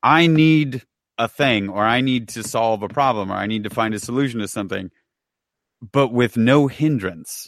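Recorded very clean against a silent background, a man speaks in an ordinary speaking voice at a medium pitch and moderate pace, with ordinary pitch variation and a dry, close sound with no echo. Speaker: podcast host. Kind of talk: casual chat.

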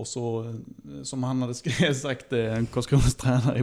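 A plain, everyday voice from a man at medium pitch, with fairly even intonation and a moderate pace. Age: 40s. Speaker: football club podcast co-host and technician. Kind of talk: casual chat.

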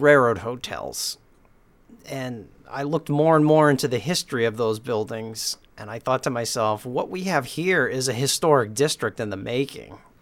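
This man has an unremarkable speaking voice at a medium pitch, with lively intonation and a moderate pace. The recording is very clean, the background silent. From eastern Massachusetts (Beverly, North Shore). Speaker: local history preservationist and community TV producer. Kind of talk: casual interview.

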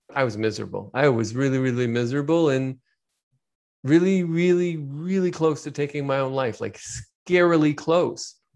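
Against a quiet background, a man with a plain, everyday voice talks at a fairly quick pace, his pitch fairly high with ordinary variation. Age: 40s. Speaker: business coach. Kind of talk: interview.

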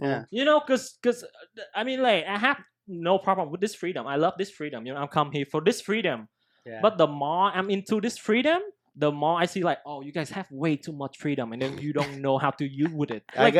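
On a very clean recording with a silent background, a man with a Vietnamese accent speaks at a fairly quick pace in a fairly high voice with very wide pitch swings. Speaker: podcast co-host. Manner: casual, slangy.

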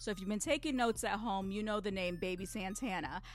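The speaker is a woman with a fairly high pitch. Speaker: radio host. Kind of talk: radio DJ patter introducing tracks. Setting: studio. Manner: upbeat, energetic, quick-paced hype.

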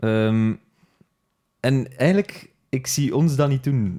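Speaking very slowly, a man delivers his words in a dark, mellow tone. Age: 20s. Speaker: podcast host. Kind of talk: casual chat.

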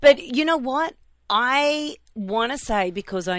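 A woman speaks at a fairly slow pace with an Australian accent. The recording is very clean, with a silent background. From Australia (Melbourne). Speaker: radio host. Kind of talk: casual chat. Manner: animated.

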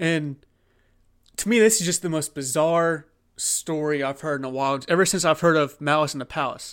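A normal speaking voice from a man, fairly high in pitch, with ordinary pitch variation at a moderate pace, on a very clean recording with a silent background. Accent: American. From Oklahoma. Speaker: sports podcast host. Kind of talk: casual solo sports commentary. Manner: conversational with many fillers.

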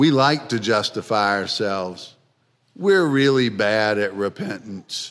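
A man with a plain, everyday voice talks at a fairly slow pace in a medium pitch, using lively intonation. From Philadelphia, US. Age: 60s. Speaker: guest preacher. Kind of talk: sermon. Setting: church.

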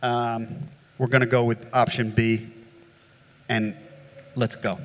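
Medium in pitch, a man with an American accent keeps a fairly even intonation. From US, upstate New York. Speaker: flood engineering consultant. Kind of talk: panel discussion. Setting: stage with audience. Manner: casual, hesitant fillers.

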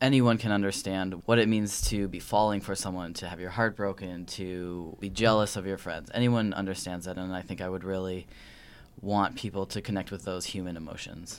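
Moderate pace and fairly even intonation, with an American accent. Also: man, very deep, low pitch for a man. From Wisconsin. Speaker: filmmaker and actor. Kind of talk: interview.

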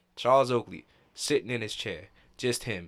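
With a normal speaking voice, a man talks at a fairly slow pace and medium pitch with fairly even intonation, in a very clean recording with a silent background. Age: 20s. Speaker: sports podcast co-host. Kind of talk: casual sports chat.

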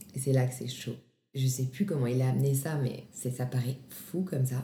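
Somewhat breathy and dark, mellow in tone, this woman's very deep, low voice moves at a moderate pace. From Grenoble, France. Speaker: actress and singer. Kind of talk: testimony.

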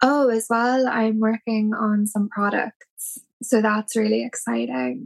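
A woman with a Cork accent speaks in a dry, close sound with no echo. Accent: Cork Irish. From Ireland, Cork City. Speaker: tattoo artist. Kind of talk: casual interview.

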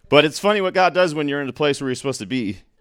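A man's voice with lively intonation on a very clean recording over a silent background. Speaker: class member sharing testimony. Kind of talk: testimony. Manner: casual, laughs while talking.

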